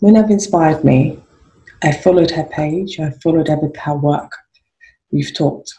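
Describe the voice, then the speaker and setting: At a moderate pace, a woman with a very deep, low pitch and a dark, mellow tone speaks with vocal fry and fairly even intonation. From Nigeria. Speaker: podcast host. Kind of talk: interview conversation. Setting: video call.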